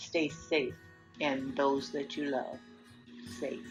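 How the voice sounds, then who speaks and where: A woman at a very slow pace, with music in the background. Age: 80s+. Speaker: grandmother. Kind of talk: interview answer. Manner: outspoken, vivacious.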